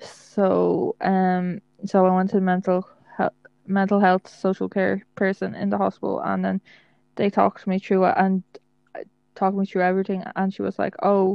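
A woman talks in an Irish accent with monotone, flat intonation. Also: medium pitch for a woman, moderate pace. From Ireland. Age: 20s. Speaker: podcast co-host. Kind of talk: casual chat.

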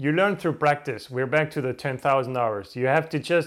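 A fairly high-pitched man with a non-native accent and ordinary pitch variation, on a very clean recording with a silent background. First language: not English. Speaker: podcast host. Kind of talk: solo motivational monologue to camera. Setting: home recording in front of camera. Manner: trying to sound energized.

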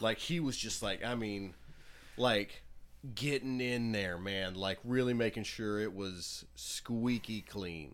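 Speaking very slowly with an American accent, a man keeps a medium pitch. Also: ordinary pitch variation. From Butler, Pennsylvania. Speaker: podcast co-host. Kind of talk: casual chat.

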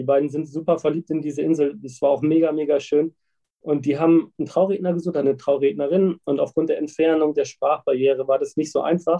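Here a man talks at a fairly quick pace in a fairly high voice. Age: 30s. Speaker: wedding officiant. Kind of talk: interview. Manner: animated.

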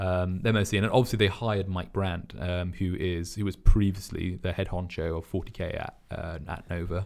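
In a very clean recording with a silent background, a man with a British accent talks at a moderate pace with hardly any pauses, his very deep, low pitch carrying fairly even intonation. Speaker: wargaming club community manager. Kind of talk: casual chat.

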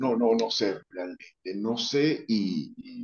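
A man is speaking. His voice has a medium pitch. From Venezuela, Táchira. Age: 40s. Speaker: urologist. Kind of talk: casual interview.

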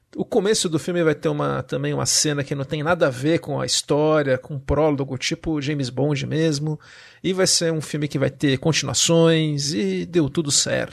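Speaking at a moderate pace, a man with a fairly high pitch has an unremarkable speaking voice and ordinary pitch variation. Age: 40s. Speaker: podcast host. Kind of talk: casual chat.

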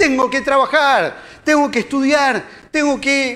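In a Rioplatense accent, a man speaks at a very slow pace with an extremely high pitch and a bright, sharp tone. His voice is raised and projected, with fairly even intonation. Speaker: lay preacher. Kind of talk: sermon. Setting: church.

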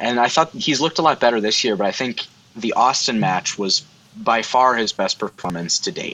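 An ordinary speaking voice from a man, medium in pitch, at a moderate pace. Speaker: guest host. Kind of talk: casual chat.

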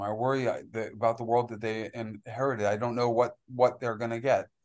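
Against a quiet background, a man speaks at a moderate pace and a medium pitch. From New York City. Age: 50s. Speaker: agroforestry farmer. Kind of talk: casual chat. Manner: halting.

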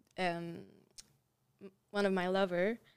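A woman with a Quebec accent speaks at a fairly slow pace in monotone, flat intonation. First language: French. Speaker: artist. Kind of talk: interview. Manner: halting.

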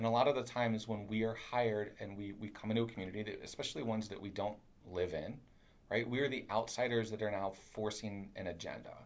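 A man with a fairly low pitch talks very fast in fairly even intonation, with audible room echo. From Kentucky. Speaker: urban planner. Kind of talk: casual interview conversation.

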